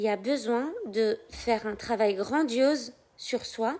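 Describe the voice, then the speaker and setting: A soft-spoken woman talks in a high pitch with ordinary pitch variation. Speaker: life coach. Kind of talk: live stream talk.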